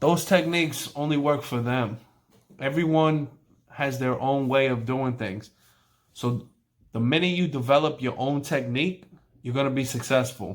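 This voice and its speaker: A man with a New York accent talks at a moderate pace and a fairly high pitch. His pitch variation is ordinary, and he takes long, frequent pauses. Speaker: barber. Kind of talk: tutorial. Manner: casual.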